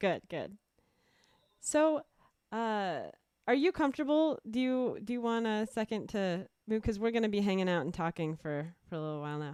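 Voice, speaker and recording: A woman with a fairly high pitch swings it very widely, pausing often and at length. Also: moderate pace. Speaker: livestream host and musician. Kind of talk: casual interview chat. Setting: video call livestream.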